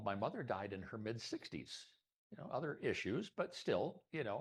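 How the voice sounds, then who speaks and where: This man's fairly high voice has vocal fry and very wide pitch swings. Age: 60s. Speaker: club presenter, photographer and former academic dean. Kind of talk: presentation at a members' meeting. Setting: meeting room with live audience and Zoom.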